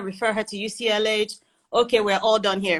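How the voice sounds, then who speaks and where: A woman with a medium-pitched voice speaks in an animated tone. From Nigeria. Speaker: bereaved mother sharing her story. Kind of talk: testimony. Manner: animated storytelling.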